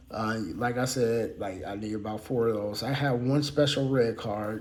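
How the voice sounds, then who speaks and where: Audible room echo surrounds a man speaking at a fairly slow pace. His pitch is medium and his intonation fairly even. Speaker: card collecting YouTuber. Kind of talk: casual unscripted deck showcase. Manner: halting, many fillers.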